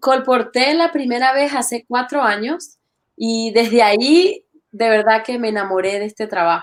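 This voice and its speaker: A woman talks at a moderate pace with a slight Venezuelan accent. Her pitch is high and her intonation lively. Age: young. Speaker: church literature ministry worker. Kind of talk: interview.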